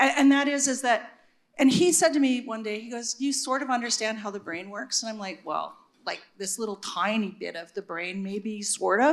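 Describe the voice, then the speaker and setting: In a Canadian accent, a woman with an ordinary speaking voice talks at a moderate pace with a fairly high pitch, lively intonation and big swings in loudness. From Regina, Saskatchewan, Canada. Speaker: neuroscientist and university administrator. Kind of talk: panel discussion.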